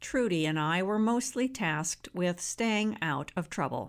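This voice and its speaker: On a very clean recording with a silent background, a woman talks at a fairly slow pace. Her intonation is lively. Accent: Wisconsin. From US Midwest, rural northwest Wisconsin. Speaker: memoir author. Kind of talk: reading aloud.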